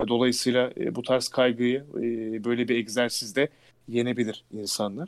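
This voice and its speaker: A man talks at a moderate pace with a medium pitch. His intonation is monotone and flat. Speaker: announcer and voice actor. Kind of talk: casual interview.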